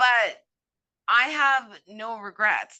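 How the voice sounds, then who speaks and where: A woman with a Cape Breton accent and a bright, sharp tone, against a quiet background. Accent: Cape Breton Canadian. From Cape Breton, Nova Scotia, Canada. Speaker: immigration consultant. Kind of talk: interview conversation. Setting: podcast.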